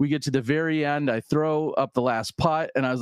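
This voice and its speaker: The speaker has a Midwestern US accent and keeps a moderate pace. The background is quiet. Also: man. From US Midwest. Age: 40s. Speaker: disc golf commentator. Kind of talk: casual interview.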